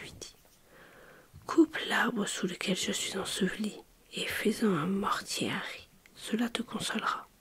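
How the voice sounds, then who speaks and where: A woman is whispering. Her pace is very slow. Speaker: ASMR storyteller. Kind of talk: sleep story reading. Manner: soft-spoken.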